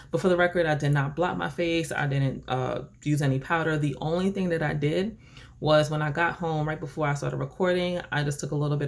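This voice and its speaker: A woman speaks at a fairly quick pace with a very deep, low voice. The recording is very clean, with a silent background. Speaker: beauty vlogger. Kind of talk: casual vlog talk to camera. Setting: at home desk by window. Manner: animated; loud.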